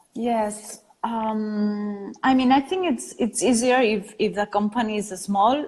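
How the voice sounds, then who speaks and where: In a Catalan accent, a woman speaks very slowly at medium pitch, somewhat breathy. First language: Spanish or Catalan. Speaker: design studio founder. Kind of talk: interview. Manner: halting.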